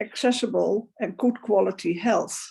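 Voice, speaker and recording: A woman talks at a very slow pace with a Dutch accent. Her voice has vocal fry. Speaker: advocate for older women. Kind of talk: panel discussion.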